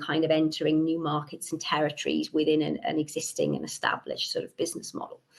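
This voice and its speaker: A woman's fairly quick speech in a Welsh accent. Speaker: researcher presenting a report. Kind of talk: conference presentation.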